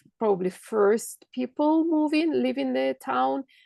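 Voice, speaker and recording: At a very slow pace and with very wide pitch swings, the speaker talks in a Russian accent, the sound dry and close with no echo. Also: woman. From Kazakhstan and Russia. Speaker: holistic coach and medical intuitive. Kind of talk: podcast interview.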